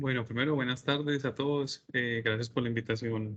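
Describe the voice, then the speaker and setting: A man talks with a Paisa Colombian accent. His pitch is medium and his intonation fairly even. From Colombia, Medellín. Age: 30s. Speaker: business administrator. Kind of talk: online interview.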